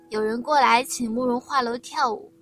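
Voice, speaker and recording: With music in the background, a woman speaks at a moderate pace and a high pitch. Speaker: audiobook narrator. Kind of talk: reading aloud.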